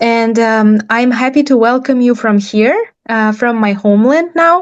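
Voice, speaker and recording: Her voice sits fairly high for a woman, with a Nenets accent. She talks at a moderate pace. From Nenets Autonomous Okrug, Russian Arctic. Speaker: PhD student in anthropology. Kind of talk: roundtable introduction.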